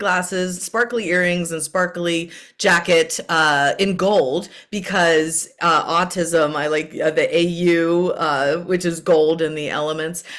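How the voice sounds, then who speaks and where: A woman speaks in a plain, everyday voice, fairly low in pitch. Her pace is fairly slow and her intonation fairly even. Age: 50s. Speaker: podcast host, therapist. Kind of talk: podcast interview.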